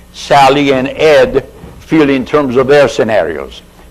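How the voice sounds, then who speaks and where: Noticeable background noise sits under the recording. A man speaks with a fairly high pitch. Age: 60s. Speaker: aerospace engineer and committee member. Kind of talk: committee briefing. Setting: public hearing. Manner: halting.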